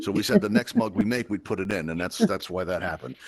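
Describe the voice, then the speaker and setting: Very fast talk from a man in a New York accent, fairly low in pitch, with ordinary pitch variation. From Brooklyn, New York. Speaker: VR event host and instructor. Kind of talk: casual chat. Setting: social VR space.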